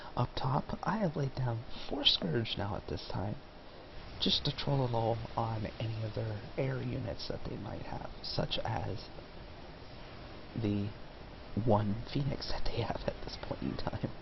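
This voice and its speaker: A soft-spoken man at a fairly slow pace, with long, frequent pauses and noticeable background noise. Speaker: gaming commentator. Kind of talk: gameplay commentary.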